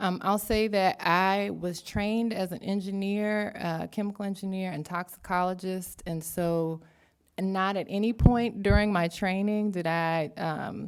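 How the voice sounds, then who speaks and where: On a very clean recording with a silent background, a woman with a Southern US accent and a medium pitch speaks at a fairly slow pace with fairly even intonation. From US South. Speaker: academic researcher. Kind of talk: panel talk.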